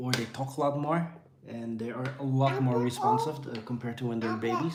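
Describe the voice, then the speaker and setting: Amid noticeable background noise and audible room echo, a man with a Dutch accent speaks at medium pitch. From Netherlands, near Amsterdam. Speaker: vlogger, father. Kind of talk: casual live-stream chat. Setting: home, feeding kids on tripod.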